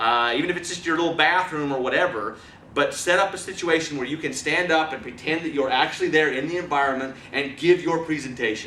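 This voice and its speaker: Through noticeable background noise and audible room echo, a man with a fairly high pitch speaks at a fairly quick pace. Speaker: presentation skills trainer. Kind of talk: training lecture. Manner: fast; animated.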